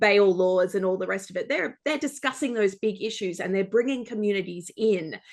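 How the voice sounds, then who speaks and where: The background stays quiet. Against it, a woman speaks in an Australian accent. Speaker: journalist. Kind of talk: panel discussion. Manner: animated, many fillers.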